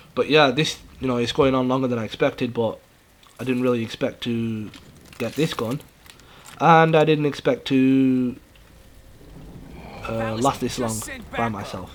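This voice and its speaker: Mumbling at a moderate pace, broken by long, frequent pauses. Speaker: gaming YouTuber. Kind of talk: gameplay commentary. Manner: hesitant, with many fillers.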